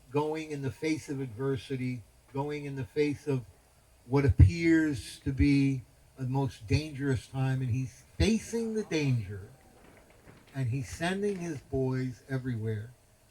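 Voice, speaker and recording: A somewhat breathy voice with an American accent speaks at a fairly slow pace. The tone is dark and mellow, with lively intonation. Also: man, medium pitch for a man. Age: 70s. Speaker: spiritual teacher. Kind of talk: religious talk at a festival. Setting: festival gathering with audience. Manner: animated.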